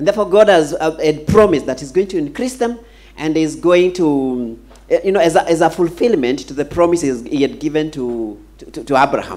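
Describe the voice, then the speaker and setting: A man speaking at a fairly quick pace with lively intonation. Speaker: pastor. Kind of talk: sermon. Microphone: handheld.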